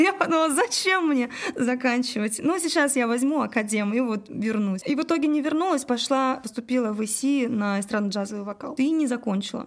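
A woman speaks fairly quickly in a high voice with lively intonation. Noticeable background noise can be heard. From Russia, Udmurtia (Glazov). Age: 30s. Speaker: singer and cover band director. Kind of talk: casual interview chat.

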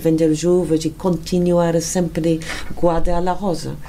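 A woman with a strong English accent speaks at a very deep, low pitch. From England. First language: English (speaking Portuguese). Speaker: wine estate owner. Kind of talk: interview. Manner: halting.

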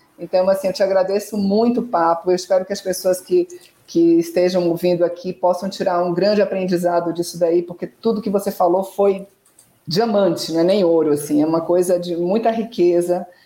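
At medium pitch, a woman speaks at a moderate pace in a dark, mellow tone with fairly even intonation. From Brazil, Salvador. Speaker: communications consultant acting as interviewer. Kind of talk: interview. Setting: live online stream.

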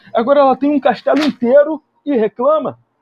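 Lively intonation marks a man's extremely high-pitched voice as he speaks at a moderate pace. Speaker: podcast host. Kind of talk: comedic live commentary on a film. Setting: livestream. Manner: animated.

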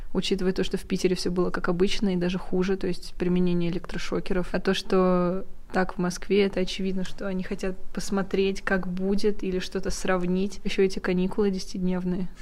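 With audible room echo, a woman speaks at a fairly quick pace and medium pitch in a monotone, flat intonation. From Russia, Ufa. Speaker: photographer and film student. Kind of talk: casual chat.

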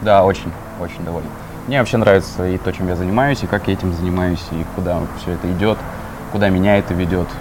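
Amid noticeable background noise, a man with a very deep, low pitch speaks at a very fast pace with fairly even intonation and long, frequent pauses. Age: 20s. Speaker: social media marketer. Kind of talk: casual interview. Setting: cafe.

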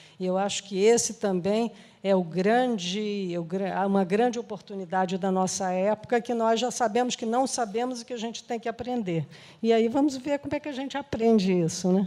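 A woman with a dark, mellow tone speaks at a fairly high pitch and a moderate pace, with ordinary pitch variation. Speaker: social entrepreneur. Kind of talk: interview.

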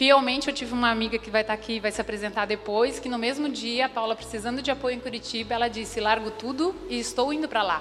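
With noticeable background noise, a woman speaks at a very fast pace with hardly any pauses. Her voice is fairly high and shows ordinary pitch variation. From Santa Catarina, Brazil (Rio do Sul). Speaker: entrepreneur, club co-founder. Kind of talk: event speech.

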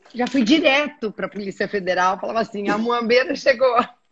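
A woman's fairly high voice with ordinary pitch variation, an ordinary speaking voice. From Brazil. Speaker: aqua fitness instructor. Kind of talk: casual chat.

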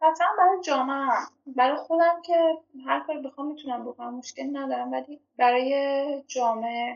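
Her loudness swings widely as this woman speaks at a high pitch. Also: ordinary pitch variation, moderate pace. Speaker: podcast guest. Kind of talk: casual chat. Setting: video call. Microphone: remote call recording, sounds different from studio.

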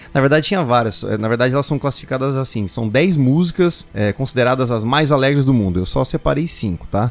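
A man talks at a fairly quick pace with hardly any pauses, medium pitch and ordinary pitch variation. It is a normal speaking voice. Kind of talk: casual interview chat.

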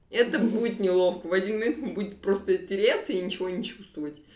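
A woman speaks at a very fast pace in a medium pitch. Her pitch varies in an ordinary way, with noticeable background noise. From Kazakhstan, Almaty. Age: 20s. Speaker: web developer. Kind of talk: casual chat. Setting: studio, face to face.

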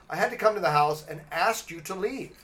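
A man speaks at a fairly quick pace. Noticeable background noise can be heard. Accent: American. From Los Angeles. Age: 50s. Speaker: podcast host. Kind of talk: casual chat.

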